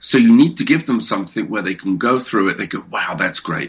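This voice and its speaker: Speaking at a fairly quick pace, a man comes across with a British accent. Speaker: comic creator and publisher. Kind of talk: interview.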